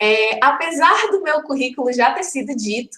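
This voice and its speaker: A woman's high-pitched voice with lively intonation and audible room echo. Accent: Ceará. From Ceará, Brazil. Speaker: educator, conference speaker. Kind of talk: online lecture. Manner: conversational, many fillers.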